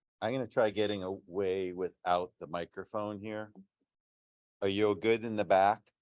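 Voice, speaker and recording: With a dry, close sound and no echo, a man speaks at a fairly slow pace in a fairly low, monotone, flat voice broken by long, frequent pauses. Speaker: fisheries biologist. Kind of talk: presentation. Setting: meeting room with audience, no microphone. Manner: loud. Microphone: speaking without microphone.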